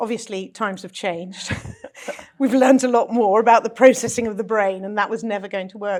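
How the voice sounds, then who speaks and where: With a British accent, a woman speaks at a fairly quick pace in fairly even intonation, her loudness swinging widely. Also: fairly high pitch for a woman. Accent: British accent, noticeable. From London, England. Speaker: speech coach. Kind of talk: interview conversation. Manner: polished, elocution-trained.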